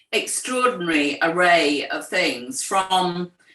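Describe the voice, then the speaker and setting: A woman speaks with a bright, sharp tone. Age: 60s. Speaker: writer and poet, co-founder of an ageing community. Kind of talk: interview conversation.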